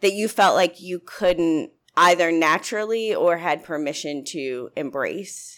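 With an American accent and an ordinary speaking voice, a woman talks fairly slowly at a fairly low pitch with ordinary pitch variation. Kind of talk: casual chat.

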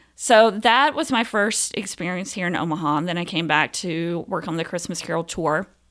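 With an American accent, a woman with an unremarkable speaking voice and fairly low pitch talks at a moderate pace with hardly any pauses and ordinary pitch variation, in a very clean recording with a silent background. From US South, Phenix City, Alabama. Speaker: theater director. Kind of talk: casual interview.

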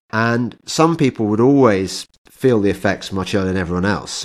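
Speaking in an English accent, a man with a fairly low pitch uses lively intonation at a moderate pace in a very clean recording with a silent background. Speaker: podcast host. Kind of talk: casual interview, includes sponsor read.

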